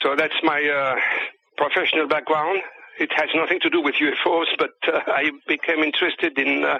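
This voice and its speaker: Speaking at a moderate pace with a French accent, a man keeps his loudness very even. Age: 60s. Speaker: UFO researcher and author. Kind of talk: interview. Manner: halting.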